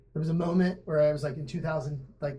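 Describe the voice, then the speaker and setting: With a dark, mellow, somewhat breathy tone, a man speaks at a fairly quick pace in a fairly high voice, his intonation monotone and flat, and the room echo is audible. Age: 40s. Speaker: graphic designer and entrepreneur. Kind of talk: casual interview.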